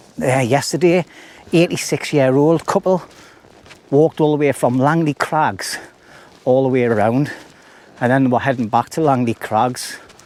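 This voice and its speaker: A man at a moderate pace, very even in loudness, with long, frequent pauses and noticeable background noise. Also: medium pitch for a man, ordinary pitch variation. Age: 50s. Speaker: outdoor vlogger. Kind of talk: casual vlog narration. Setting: outdoors on a hill walk. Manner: chatty, rambling.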